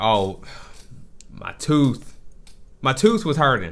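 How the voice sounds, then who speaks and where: In a very clean recording with a silent background, a man puts on a character voice at a medium pitch, mumbling at a very slow pace with very wide pitch swings. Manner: mumbling, as if talking around a sore tooth.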